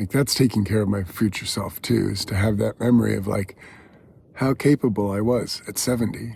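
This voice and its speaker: His fairly low pitch comes with a dark, mellow tone, a somewhat breathy quality and fairly even intonation as the man speaks. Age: 70s. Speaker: personal vlogger. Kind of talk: personal reflection monologue. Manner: casual, with fillers.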